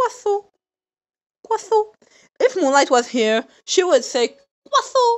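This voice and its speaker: Pausing long and often, a woman talks at a fairly slow pace in an extremely high pitch with very wide pitch swings. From France. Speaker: streamer. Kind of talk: casual chat. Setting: live stream. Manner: animated.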